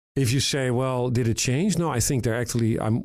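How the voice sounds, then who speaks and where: A man with a European accent speaks with ordinary pitch variation on a very clean recording with a silent background. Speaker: retina surgeon and tech founder. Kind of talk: podcast interview.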